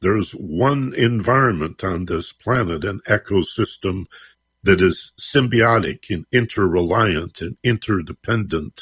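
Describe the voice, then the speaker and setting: A plain, everyday voice over a quiet background, dry and close with no echo, at a fairly slow pace with ordinary pitch variation. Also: man, fairly low pitch for a man. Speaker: radio host. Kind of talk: radio interview. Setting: radio studio.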